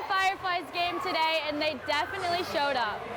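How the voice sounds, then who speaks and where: A woman is speaking. Background noise can clearly be heard behind her. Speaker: reporter. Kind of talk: TV news report.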